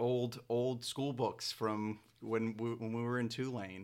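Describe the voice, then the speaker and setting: A man's fairly low-pitched voice, monotone and flat in intonation, at a fairly slow pace. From New Orleans, Louisiana. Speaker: historic preservation planner. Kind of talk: interview. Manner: frequent repetitions and filler words.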